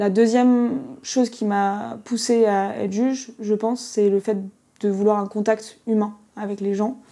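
A woman speaks fairly slowly at a fairly high pitch. Her tone is dark and mellow, and her intonation is monotone and flat. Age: 20s. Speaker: young judge. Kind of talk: interview. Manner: loud.

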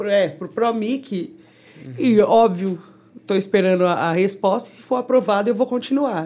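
With a dark, mellow tone at medium pitch, a woman speaks at a moderate pace, her lively intonation paired with big swings in loudness. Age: 30s. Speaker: DJ. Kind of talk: casual chat.

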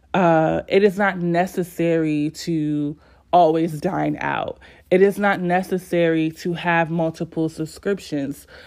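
Fairly low for a woman, her voice moves at a fairly slow pace in a very clean recording with a silent background. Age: 20s. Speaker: podcast host. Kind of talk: solo podcast monologue. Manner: animated.

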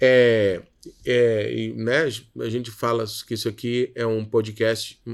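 On a very clean recording with a silent background, a man speaks very slowly at medium pitch. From Rio de Janeiro suburbs, Brazil; moved to Minas Gerais at 13. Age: 30s. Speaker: creative consultant and entrepreneur. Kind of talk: interview.

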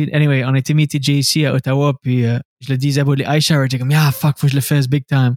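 A man with a fairly high pitch speaks at a very fast pace in a flat monotone. The sound is dry and close with no echo, and his loudness stays very even. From Scoudouc, New Brunswick (Acadia). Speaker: stand-up comedian and radio host. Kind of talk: casual interview chat.

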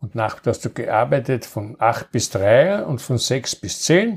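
A man with a Viennese accent speaks in a somewhat breathy voice. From Vienna, Austria. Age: 80s+. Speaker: grandfather recounting wartime childhood. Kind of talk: storytelling interview.

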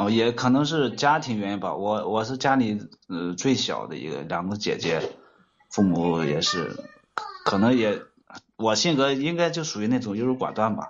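Lively intonation runs through a man's speech, with audible room echo. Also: medium pitch for a man, moderate pace. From Shanxi, Datong. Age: 30s. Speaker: caller, excavator operator. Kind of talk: call-in advice chat.

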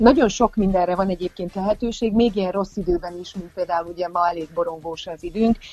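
A woman at medium pitch and a fairly quick pace, with fairly even intonation, hardly any pauses and big swings in loudness, over music in the background. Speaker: parenting and play advisor. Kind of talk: radio interview.

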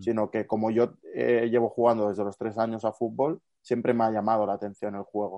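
Fairly even intonation in an unremarkable speaking voice, delivered at a fairly quick pace. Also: man. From Barcelona, Catalonia. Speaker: student and youth football fitness coach. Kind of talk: casual interview chat.

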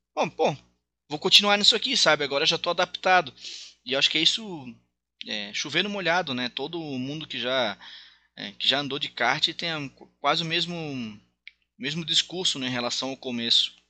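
Against a quiet background, a man with a fairly high pitch and a bright, sharp tone talks with lively intonation, broken by long, frequent pauses. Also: moderate pace. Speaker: race commentator and former kart driver. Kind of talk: casual interview chat. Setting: recorded podcast.

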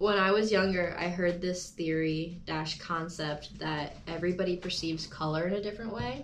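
A woman with a fairly low pitch speaks at a moderate pace with hardly any pauses and ordinary pitch variation. Audible room echo and noticeable background noise surround her voice. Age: 20s. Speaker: podcast host. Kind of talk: casual chat. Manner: animated.

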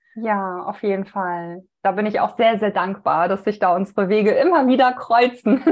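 A woman's medium-pitched voice at a moderate pace, with ordinary pitch variation and hardly any pauses. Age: 30s. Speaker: women's health coach. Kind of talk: casual interview conversation.

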